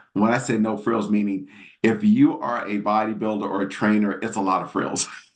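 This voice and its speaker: The speaker is a man with a fairly low pitch. Audible room echo surrounds his voice. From Washington DC area, US. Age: 60s. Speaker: natural bodybuilder. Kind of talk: podcast interview. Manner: casual, filler-heavy.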